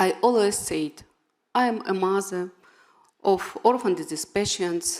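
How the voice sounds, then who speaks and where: A woman with a Ukrainian accent talks at a medium pitch and a fairly slow pace. Her pitch varies in an ordinary way, with long, frequent pauses. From Ukraine. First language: Ukrainian or Russian. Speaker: patient advocate and award recipient. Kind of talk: award acceptance speech. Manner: halting, non-fluent English.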